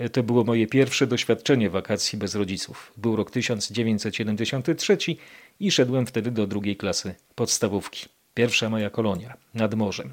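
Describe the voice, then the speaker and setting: Recorded very cleanly against a silent background, a man with a normal speaking voice talks at a moderate pace and medium pitch, with ordinary pitch variation. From Poland, Kraków (Nowa Huta). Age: 50s. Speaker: podcast host. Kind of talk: scripted narration.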